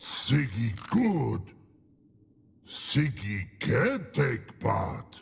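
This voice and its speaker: A man puts on a growling character voice at a medium pitch. He goes at a very slow pace, with long, frequent pauses. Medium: video game. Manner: broken grammar, slow and simple.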